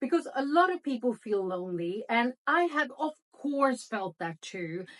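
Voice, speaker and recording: Her pitch swings very widely as a woman talks at a fairly slow pace. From Sweden. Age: 50s. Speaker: journalist. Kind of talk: motivational talk to camera. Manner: warm, encouraging.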